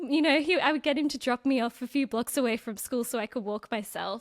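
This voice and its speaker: A high-pitched woman with an Australian accent at a fairly quick pace, in a dry, close recording with no echo, very clean and with a silent background. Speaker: personal finance content creator. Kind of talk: podcast interview.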